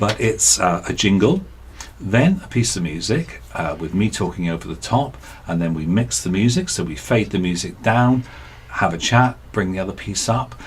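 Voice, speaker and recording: The voice is soft-spoken, with lively intonation. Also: man, fairly low pitch for a man, moderate pace. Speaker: radio presenter. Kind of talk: tutorial. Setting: radio studio.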